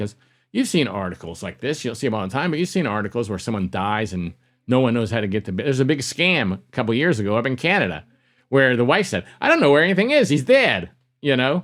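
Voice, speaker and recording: Lively intonation marks this man's plain, everyday voice. He talks at a fairly quick pace in a very clean recording with a silent background. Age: 60s. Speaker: conference organizer and podcaster. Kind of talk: interview.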